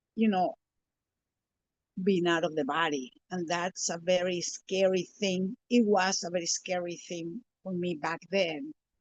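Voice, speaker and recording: The speaker has a Spanish accent and ordinary pitch variation, with long, frequent pauses. The sound is dry and close with no echo. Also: woman, fairly low pitch for a woman, fairly slow pace. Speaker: spiritual teacher. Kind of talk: interview. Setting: live stream.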